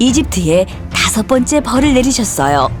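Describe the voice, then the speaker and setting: Over music in the background, a woman with a high pitch speaks fairly slowly. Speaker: voice actor. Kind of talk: children's Bible story narration.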